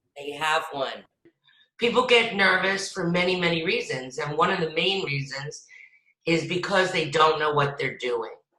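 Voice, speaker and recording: Audible room echo surrounds a woman speaking in an animated tone at a fairly low pitch. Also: ordinary pitch variation, moderate pace. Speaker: acting coach. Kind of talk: lecture. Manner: loud.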